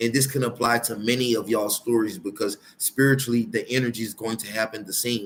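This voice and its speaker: Speech at a moderate pace in a plain, everyday voice. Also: man. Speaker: tarot reader. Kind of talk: tarot reading monologue.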